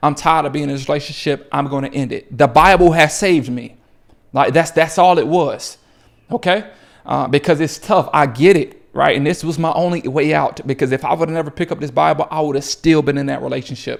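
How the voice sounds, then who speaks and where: A man speaks at a fairly high pitch and a fairly quick pace, with vocal fry. The recording is very clean, with a silent background. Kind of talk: motivational faith talk to camera. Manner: fast; animated.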